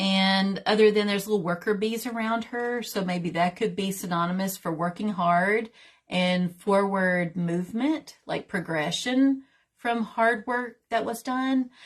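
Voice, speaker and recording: Over a quiet background, a speaker with a Southern accent talks at a fairly slow pace, somewhat breathy, with ordinary pitch variation. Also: woman, medium pitch for a woman. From US South, Tennessee. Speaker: tarot reader and teacher. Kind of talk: livestream tutorial. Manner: casual, chatty.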